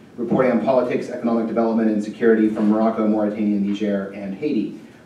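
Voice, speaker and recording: A man talks at a very fast pace. Light background noise and audible room echo are present. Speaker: speaker. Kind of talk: speaker introduction. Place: hall.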